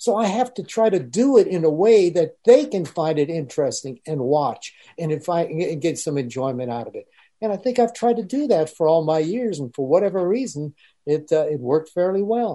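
At a moderate pace, a man talks with a dark, mellow tone, a fairly high pitch and lively intonation.

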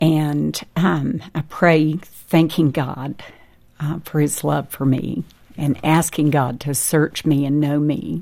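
At a very slow pace, a woman with an American accent speaks in a very deep, low pitch, her tone dark and mellow, with vocal fry and fairly even intonation. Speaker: restaurant owner and birth mother. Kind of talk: testimony. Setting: studio.

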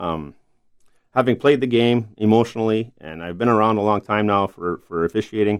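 In a very clean recording with a silent background, a man with a Canadian prairie accent speaks at a fairly quick pace in a fairly low pitch with ordinary pitch variation. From eastern Manitoba, Canada. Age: 50s. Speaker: hockey referee. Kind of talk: interview.

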